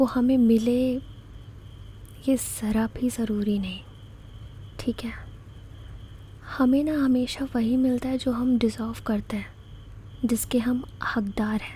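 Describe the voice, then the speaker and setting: A soft-spoken woman's high voice, dark and mellow in tone, with monotone, flat intonation. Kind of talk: ASMR comforting talk.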